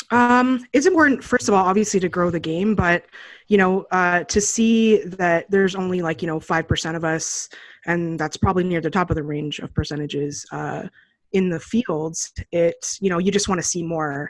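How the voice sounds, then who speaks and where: A woman with a normal speaking voice at a moderate pace, against a quiet background. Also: fairly low pitch for a woman, ordinary pitch variation. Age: 30s. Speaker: poker journalist and player. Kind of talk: interview. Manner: casual, many fillers.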